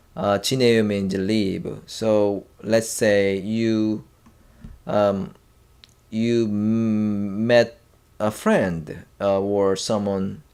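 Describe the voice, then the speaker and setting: Recorded very cleanly with a silent background, a man with a Korean accent talks at a very slow pace, with a fairly low pitch and fairly even intonation. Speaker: language teacher. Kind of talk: tutorial. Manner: halting, many fillers and restarts.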